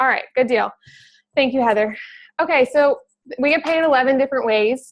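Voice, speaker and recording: A woman with a high pitch talks with very even loudness and fairly even intonation. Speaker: network marketing trainer. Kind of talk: training call. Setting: video call. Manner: fast; casual, filler words.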